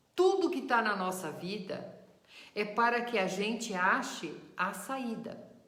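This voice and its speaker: Over audible room echo, a woman with a warm tone speaks at a fairly high pitch and a very slow pace. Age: 60s. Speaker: spiritist teacher. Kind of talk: lecture. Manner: warm, conversational.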